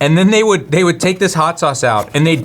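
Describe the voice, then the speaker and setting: A man's high, animated voice with very wide pitch swings over noticeable background noise. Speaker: photography show co-host. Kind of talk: casual chat. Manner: loud.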